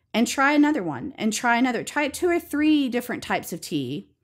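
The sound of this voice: On a very clean recording with a silent background, a woman with an Alabama accent talks at a fairly quick pace, her fairly high voice making big pitch swings. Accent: Alabama Southern American.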